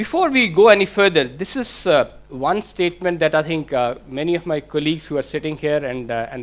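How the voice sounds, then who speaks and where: A man with an Indian accent speaks at a moderate pace, his pitch fairly high with ordinary variation. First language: Hindi. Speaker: IT manager. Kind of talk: conference presentation. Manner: hesitant, many fillers.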